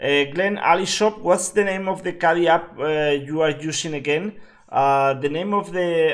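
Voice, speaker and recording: A man with a Spanish accent speaks at a high pitch and a fairly slow pace, with hardly any pauses and ordinary pitch variation. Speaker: game streamer. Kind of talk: live gameplay commentary. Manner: halting, many fillers.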